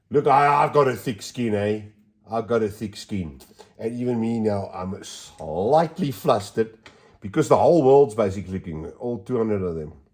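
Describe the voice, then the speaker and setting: A man speaks at a moderate pace in a medium pitch, his intonation lively. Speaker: model railway hobbyist. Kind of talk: tutorial. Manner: casual, chatty.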